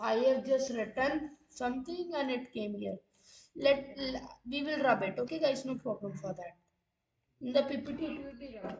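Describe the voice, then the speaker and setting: A woman with an Indian accent and a high pitch talks at a moderate pace, with ordinary pitch variation and big swings in loudness. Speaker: online physics teacher. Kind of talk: live-streamed lecture. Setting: live stream with chat.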